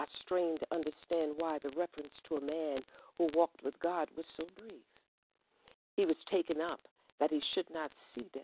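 In an American accent, a woman with a very deep, low pitch speaks at a moderate pace with fairly even intonation and long, frequent pauses. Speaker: poet. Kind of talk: poetry performance.

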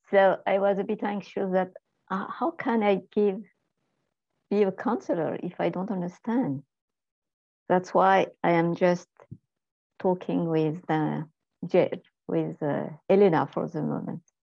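In a French accent, a woman speaks fairly slowly with ordinary pitch variation and long, frequent pauses. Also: medium pitch for a woman. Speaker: spiritual counseling student. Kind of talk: casual chat on video call.

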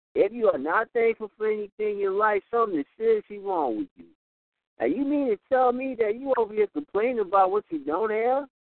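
Delivered at a fairly quick pace, this voice has an American accent. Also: man, high pitch for a man, ordinary pitch variation. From Houston, Texas. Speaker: poet. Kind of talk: spoken word poetry performance. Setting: phone call.

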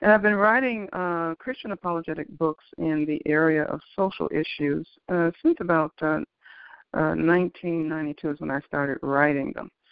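A woman with an American accent, an unremarkable speaking voice at a fairly low pitch, moderate pace and ordinary pitch variation. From Detroit, Michigan. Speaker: author. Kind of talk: interview. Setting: phone call.

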